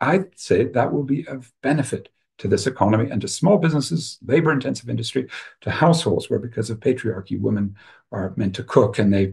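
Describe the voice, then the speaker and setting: This man talks at a fairly quick pace with a medium pitch, an American accent, lively intonation and a somewhat breathy quality. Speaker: professor and webinar speaker. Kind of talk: webinar talk. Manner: animated.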